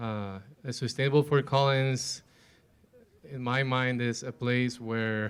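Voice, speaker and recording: At a fairly slow pace, a man with a non-native accent speaks in a monotone, flat way. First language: not English. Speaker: panelist. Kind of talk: panel discussion.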